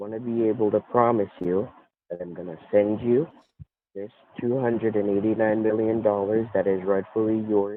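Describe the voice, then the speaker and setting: A soft-spoken man talks at a moderate pace. His pitch is fairly low, with fairly even intonation. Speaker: scam caller posing as prize official. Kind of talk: scam phone call pitch. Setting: phone call. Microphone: connection cutting in and out.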